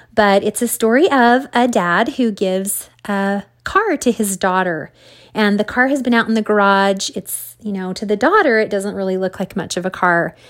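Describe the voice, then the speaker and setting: A woman's plain, everyday voice at a medium pitch, moderate pace and ordinary pitch variation, on a very clean recording with a silent background. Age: 40s. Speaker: solo podcaster, self-employed former dental hygienist. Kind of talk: casual motivational monologue. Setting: solo recording at night.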